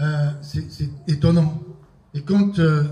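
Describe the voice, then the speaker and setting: Somewhat breathy and fairly high-pitched, a man's voice with a dark, mellow tone moves at a fairly slow pace and fairly even intonation amid audible room echo. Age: 60s. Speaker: apostle, preacher. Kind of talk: sermon.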